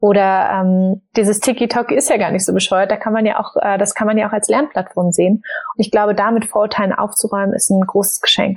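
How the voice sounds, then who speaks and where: A woman with a normal speaking voice talks at a medium pitch and a fairly quick pace, barely pausing. Her intonation stays fairly even and her loudness very even. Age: 20s. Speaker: startup founder and author. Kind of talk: casual interview.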